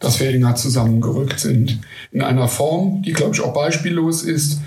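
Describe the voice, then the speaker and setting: A man speaks at a moderate pace with a fairly high pitch. Noticeable background noise and audible room echo surround him. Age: 40s. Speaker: football fan club board member. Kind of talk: interview.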